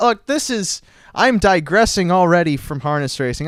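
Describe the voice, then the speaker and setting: A loud, animated voice with lively intonation moves at a moderate pace in a very clean recording with a silent background. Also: man. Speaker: internet radio host. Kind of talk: casual chat. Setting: studio.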